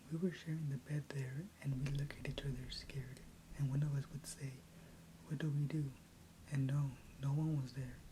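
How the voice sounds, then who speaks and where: A soft-spoken woman's very deep, low voice, dark and mellow in tone, somewhat breathy, monotone and flat, at a moderate pace. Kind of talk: asmr story reading. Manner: soft-spoken, quiet.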